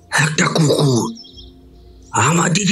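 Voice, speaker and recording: A put-on character voice from a man at a very slow pace, over clear background noise. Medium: audio drama. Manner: rustic, earnest storytelling.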